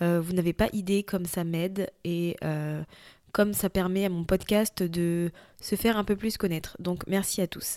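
In a very clean recording with a silent background, a woman speaks in a dark, mellow tone with fairly even intonation. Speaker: personal development podcast host. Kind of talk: solo podcast monologue. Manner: unscripted, conversational.

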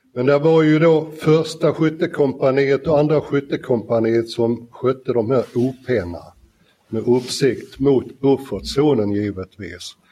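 Speaking fairly slowly, a man has a dark, mellow tone. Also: medium pitch for a man, ordinary pitch variation. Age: 70s. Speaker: air force veteran, UN peacekeeper. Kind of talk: live panel talk. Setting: stage with audience in a library. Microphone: poorer live sound.

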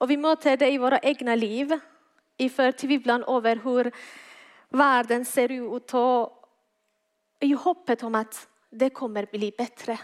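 With a non-native accent, the speaker talks fairly slowly with fairly even intonation and long, frequent pauses, in a dry, close sound without echo on a very clean recording with a silent background. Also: woman, high pitch for a woman. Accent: foreign accent in Swedish. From Iran. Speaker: guest preacher. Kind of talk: sermon. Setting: church.

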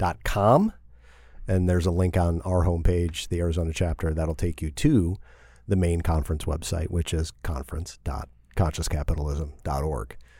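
In a very clean recording with a silent background, a man with an American accent speaks at a moderate pace in a very deep, low pitch, his tone dark and mellow, somewhat breathy, with ordinary pitch variation. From US Midwest (northwest Indiana, near Chicago). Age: 40s. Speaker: business leader. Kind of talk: casual interview.

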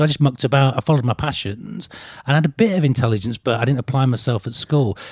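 A man talks at a very fast pace with lively intonation and a somewhat breathy sound. The recording is dry and close, with no echo. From northeast England. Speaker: business author. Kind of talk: casual interview conversation. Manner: halting, frequent repetitions.

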